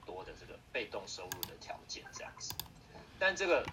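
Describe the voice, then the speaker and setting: Noticeable background noise fills the recording. The talking holds a moderate pace. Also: man. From Taiwan, Taipei (Beitou). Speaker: direct sales member, former company executive. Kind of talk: online interview. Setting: online livestream seminar.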